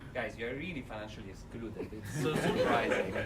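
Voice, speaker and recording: A man keeps a moderate pace as his voice echoes audibly in the room over noticeable background noise. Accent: strong Italian. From Italy. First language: Italian. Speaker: development finance speaker. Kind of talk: seminar talk. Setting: lecture room with audience, speaking without mic. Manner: energetic. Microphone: no microphone, may be hard to hear.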